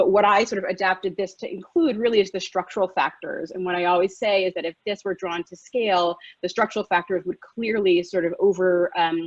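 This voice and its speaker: With an American accent, this speaker talks at a fairly quick pace with fairly even intonation and hardly any pauses, in a dry, close sound with no echo. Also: woman, medium pitch for a woman. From US, New York. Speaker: physician. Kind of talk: lecture. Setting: live webinar. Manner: fast.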